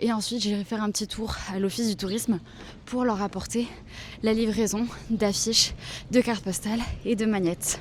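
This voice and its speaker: The speech moves at a fairly quick pace with monotone, flat intonation. Long pauses break it up frequently. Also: woman. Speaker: vlogger, freelance illustrator. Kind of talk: casual vlog talk to camera. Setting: outdoors at a market. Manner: soft-spoken, speaking quietly.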